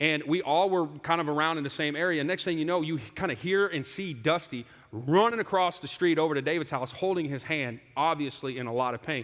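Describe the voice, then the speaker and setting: Speaking at a fairly quick pace with hardly any pauses, a man sounds animated, his fairly high voice showing ordinary pitch variation. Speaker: pastor. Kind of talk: sermon. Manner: loud; conversational, animated.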